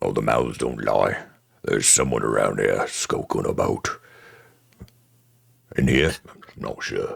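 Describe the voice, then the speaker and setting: A man does a put-on character voice that is raspy and gruff. He talks at a fairly slow pace. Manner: mumbling.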